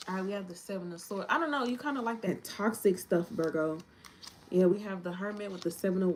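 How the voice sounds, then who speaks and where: A woman at medium pitch talks at a fairly quick pace against noticeable background noise. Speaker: tarot reader. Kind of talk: tarot reading. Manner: fast; casual.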